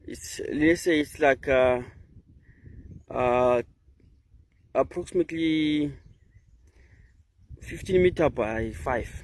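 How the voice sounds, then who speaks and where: With a Zimbabwean accent, a man talks at a medium pitch with ordinary pitch variation. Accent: Zimbabwean (Ndebele) English. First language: Ndebele. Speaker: nature vlogger. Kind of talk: walking vlog tour. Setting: outdoors. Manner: halting.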